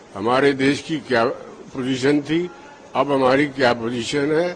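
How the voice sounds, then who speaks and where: Noticeable background noise sits behind a man whose pitch is fairly high and whose intonation is fairly even. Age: 70s. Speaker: voter. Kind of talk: street interview.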